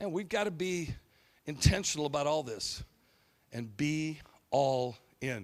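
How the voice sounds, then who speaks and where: A man's fairly high, lively voice at a fairly slow pace, broken by long, frequent pauses. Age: 50s. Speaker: pastor. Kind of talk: sermon.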